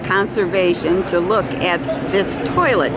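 A woman talks at a very slow pace, her voice dry with no echo, against loud background noise. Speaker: reporter at trade show. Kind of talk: interview questions and on-site commentary. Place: hall. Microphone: phone near.

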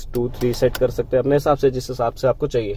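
The speaker is a man. His voice sounds dry, with no echo. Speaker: car reviewer. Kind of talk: product review walkthrough. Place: car. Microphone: phone near.

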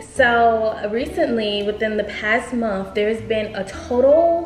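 A woman speaks with clear music in the background. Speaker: beauty vlogger. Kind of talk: casual vlog chat. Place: home room.

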